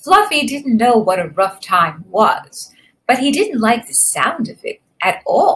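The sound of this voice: An unforced reading voice is set against a quiet background.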